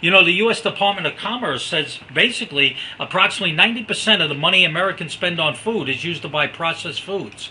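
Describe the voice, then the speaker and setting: Amid noticeable background noise, a man talks at a very fast pace with a high pitch and ordinary pitch variation. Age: 60s. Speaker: network marketing presenter. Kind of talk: sales presentation. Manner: animated.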